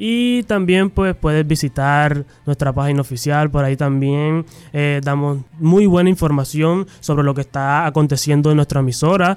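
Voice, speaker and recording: Here a man with a plain, everyday voice speaks at a moderate pace, his pitch fairly high and its variation ordinary. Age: 20s.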